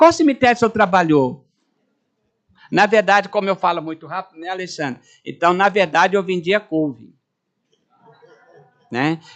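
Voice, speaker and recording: Speaking at a moderate pace with long, frequent pauses, a man with a high pitch shows big swings in loudness and ordinary pitch variation. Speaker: retired-age university professor and speaker. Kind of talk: informal talk to audience.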